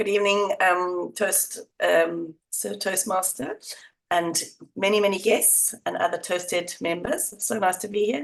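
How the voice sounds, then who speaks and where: Putting on a croaky character voice, a woman speaks at a medium pitch and a moderate pace. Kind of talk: polite, formal greeting.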